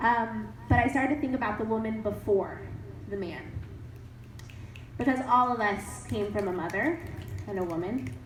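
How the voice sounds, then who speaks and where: Her fairly high voice carries lively intonation, broken by long, frequent pauses. The woman's speech has audible room echo. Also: moderate pace. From grew up in several countries. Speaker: writer and PhD student, summit speaker. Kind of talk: audience Q&A at a talk. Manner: animated.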